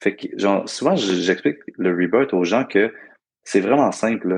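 Against a quiet background, a man with a Quebec accent talks in a fairly low pitch with lively intonation. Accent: Québécois French. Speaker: breathwork guide. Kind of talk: casual interview. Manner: animated, laughing.

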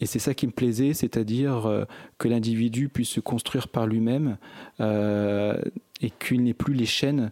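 A man's dark, mellow tone at medium pitch and a fairly slow pace, with fairly even intonation and dry, close sound with no echo. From France, Grenoble area (Échirolles). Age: 40s. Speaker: author and activist. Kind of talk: interview.

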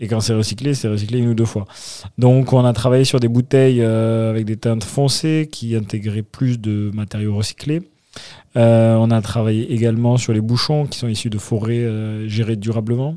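A man with a dark, mellow tone and medium pitch speaks at a moderate pace with fairly even intonation on a very clean recording with a silent background. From Toulouse, southwest France. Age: 30s. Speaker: wine company co-founder. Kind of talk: interview.

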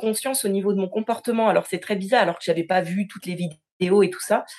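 A woman's medium-pitched voice keeps a fairly even intonation throughout. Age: 30s. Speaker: quality engineer, coaching client. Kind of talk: testimonial interview. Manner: halting, with repetitions and fillers.

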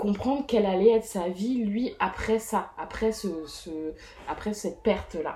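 With an unremarkable speaking voice, a woman talks at a fairly slow pace with ordinary pitch variation. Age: 30s. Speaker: mother living with depression. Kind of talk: personal testimony interview. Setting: host's living room.

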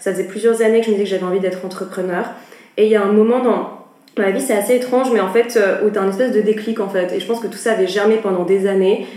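A woman talks very fast at a medium pitch with fairly even intonation. There is noticeable background noise and audible room echo. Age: 20s. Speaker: art agency co-founder. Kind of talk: interview conversation.

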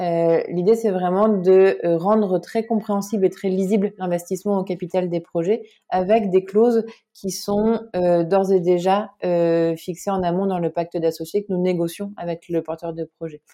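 A dark, mellow tone at a fairly slow pace. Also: woman, medium pitch for a woman, fairly even intonation. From northern France (Lille area). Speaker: cofounder and CEO of a crowdfunding platform, former journalist. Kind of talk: interview. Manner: hesitant, frequent filler sounds.

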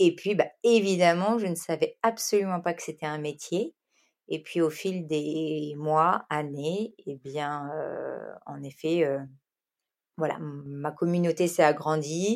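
The speaker is a woman with a very deep, low pitch. She talks very slowly. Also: ordinary pitch variation, big swings in loudness, very clean recording, silent background. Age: 30s. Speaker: influencer and content creator. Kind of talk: interview. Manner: hesitant, many fillers.

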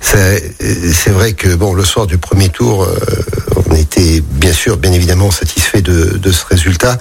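A man with a very deep, low pitch speaks very slowly, with very even loudness, ordinary pitch variation and noticeable background noise. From Saint-Priest, east of Lyon, France. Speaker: mayor and politician. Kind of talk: radio interview. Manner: halting, many repetitions.

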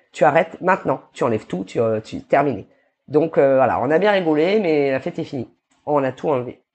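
Speaking at a fairly quick pace, a woman moves through very wide pitch swings. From New Caledonia. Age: 30s. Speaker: barbershop owner. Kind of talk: casual interview chat.

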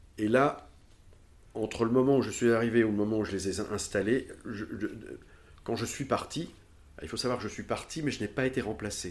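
Speaking at a moderate pace with long, frequent pauses, a man uses a medium pitch and ordinary pitch variation. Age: 60s. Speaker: former fashion house director. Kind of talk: interview. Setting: at home. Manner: halting.

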